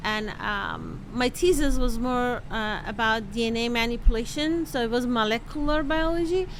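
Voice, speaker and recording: Speech in a Persian accent at a moderate pace. The pitch varies in an ordinary way. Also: woman, high pitch for a woman. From Iran. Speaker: microbiology professor and novelist. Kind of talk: interview.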